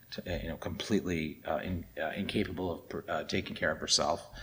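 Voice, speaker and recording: In a very deep, low voice with a bright, sharp tone, a man talks at a moderate pace. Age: 40s. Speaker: dharma talk speaker. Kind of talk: dharma talk.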